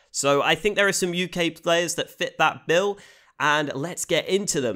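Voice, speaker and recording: This man has a British accent and a bright, sharp tone. He talks at a moderate pace on a very clean recording with a silent background. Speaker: esports commentator / YouTuber. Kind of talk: casual commentary video.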